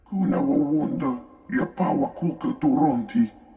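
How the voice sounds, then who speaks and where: A man uses a put-on character voice, pitched high for a man. His pitch swings very widely as he talks at a moderate pace. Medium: video game. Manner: speaks unintelligible alien language.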